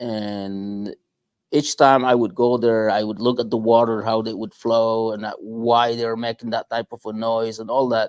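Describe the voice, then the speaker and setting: A man's medium-pitched, monotone voice with flat intonation at a moderate pace, dry and close with no echo, over a quiet background. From Guatemala. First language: Spanish. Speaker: small business owner. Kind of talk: interview. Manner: halting.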